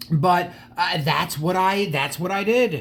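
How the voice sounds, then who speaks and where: Noticeable background noise under a man's voice, high in pitch, with ordinary pitch variation. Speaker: die-cast model car collector and YouTuber. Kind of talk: casual video monologue. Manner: halting.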